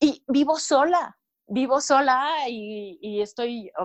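A woman speaks against a quiet background. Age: 30s. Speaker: life coach. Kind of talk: interview. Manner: animated.

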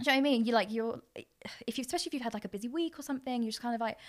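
On a very clean recording with a silent background, a woman speaks with a fairly high pitch. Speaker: influencer. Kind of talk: casual chat.

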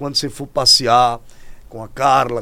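A man with a bright, sharp tone. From Rio Grande do Norte, Brazil. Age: 50s. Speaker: podcast host. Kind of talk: casual interview. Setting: studio. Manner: animated.

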